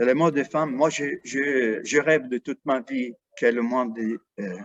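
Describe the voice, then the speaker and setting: A man with an Arabic accent talks at a very slow pace. His pitch is medium and his intonation fairly even. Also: dry, close sound with no echo. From Iraq, Basra. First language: Arabic (speaking French). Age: 70s. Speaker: painter. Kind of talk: interview. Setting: artist's studio. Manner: halting.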